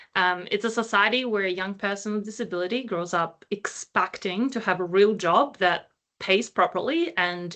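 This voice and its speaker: A woman's bright, sharp voice at medium pitch, ordinary pitch variation, a moderate pace with hardly any pauses, and a quiet background. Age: 30s. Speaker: employment researcher. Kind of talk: panel discussion.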